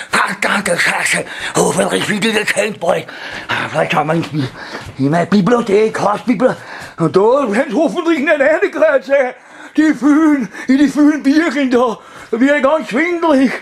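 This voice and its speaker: A man's put-on character voice, extremely high in pitch, at a moderate pace with long, frequent pauses over light background noise. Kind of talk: comedic character performance. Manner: agitated, cursing.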